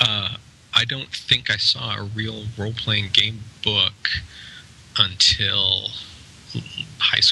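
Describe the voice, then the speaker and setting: A man with an American accent talks at a very slow pace, leaving long, frequent pauses. Noticeable background noise sits behind him. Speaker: game designer and publisher. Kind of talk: casual interview. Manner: hesitant, many fillers.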